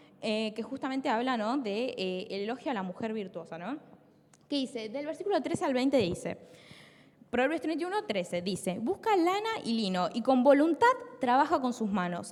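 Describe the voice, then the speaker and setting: A woman with a Rioplatense accent speaks in a high voice, her pitch swinging very widely. Noticeable background noise runs under her. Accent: Argentine Rioplatense Spanish. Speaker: preacher. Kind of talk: sermon. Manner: fast.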